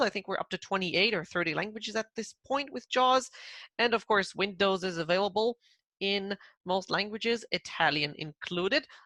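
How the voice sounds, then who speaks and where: A woman in an Israeli accent, medium-pitched with ordinary pitch variation, at a moderate pace over a quiet background. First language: Hebrew. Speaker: product manager. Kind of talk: product presentation.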